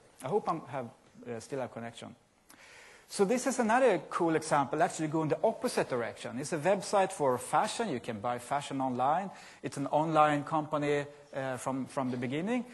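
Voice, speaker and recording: With a Scandinavian accent, a man speaks fairly quickly at a fairly high pitch, somewhat breathy, with very wide pitch swings against a quiet background. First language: Scandinavian language. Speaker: software company presenter. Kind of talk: conference presentation. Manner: halting.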